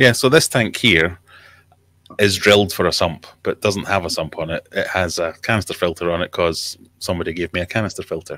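A man with a Scottish accent, a very deep, low pitch with ordinary variation, a bright, sharp tone, a fairly quick pace, and dry sound with no echo. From Scotland. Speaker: aquarium YouTuber. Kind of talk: casual chat. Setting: video call. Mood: relaxed, friendly. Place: home room. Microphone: studio mic.

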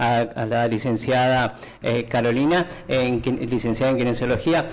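A man talks at a moderate pace. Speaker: TV interviewer host. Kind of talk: casual interview. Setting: studio. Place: studio.

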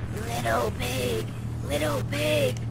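A quiet, raspy, put-on character voice comes through over loud background noise. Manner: quiet, creepy.

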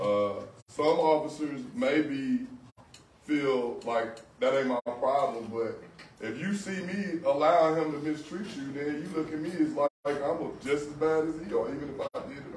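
Light background noise and audible room echo surround a man's voice. His pitch is fairly high and his intonation lively. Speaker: police officer. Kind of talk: community panel discussion. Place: shop. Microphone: camera far.

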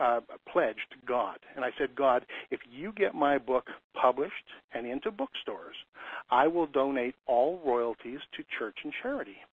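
Speaking in an ordinary speaking voice, a man keeps his pitch fairly high. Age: 50s. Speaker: commercial lease consultant. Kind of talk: webinar.

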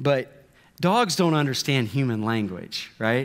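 The man's pitch rises and falls very widely. He talks fairly slowly. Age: 40s. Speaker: pastor. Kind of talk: sermon. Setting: church. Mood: light, self-deprecating humor. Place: church. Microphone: headset.

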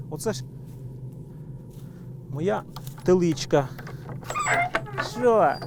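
A man at a very slow pace with lively intonation, over noticeable background noise. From Polesia, northern Ukraine. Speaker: beekeeper. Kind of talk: documentary interview. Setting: outdoors.

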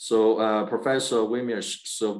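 A man at a fairly slow pace, fairly low in pitch, against a quiet background. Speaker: webinar host. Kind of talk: webinar moderation. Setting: video call. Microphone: video call.

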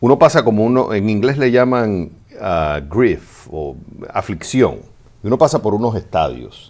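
Vocal fry runs through this man's speech. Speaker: advice show host. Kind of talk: advice answer to a listener. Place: studio. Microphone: studio mic.

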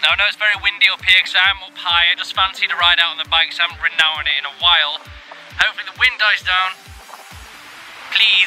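Talking at a very fast pace, a man with a high pitch keeps a fairly even intonation, with faint music in the background and a dry sound with no echo. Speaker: vlogger. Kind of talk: casual vlog chat. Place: open country. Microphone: phone near.

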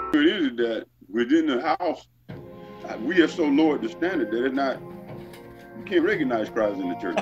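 With clear music playing in the background, a man's pitch swings very widely. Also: moderate pace. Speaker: church elder, Bible discussion participant. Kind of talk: casual Bible discussion among several men. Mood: reflective, partly amused. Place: home room. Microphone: webcam.

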